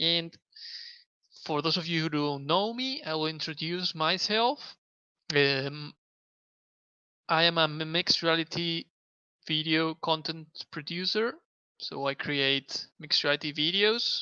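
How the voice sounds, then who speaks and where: A man with a fairly high pitch and a bright, sharp tone speaks with long, frequent pauses. The recording is very clean with a silent background and a dry, close sound with no echo. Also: ordinary pitch variation. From Spain. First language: Spanish. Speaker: mixed reality video producer. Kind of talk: live stream tutorial. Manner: halting.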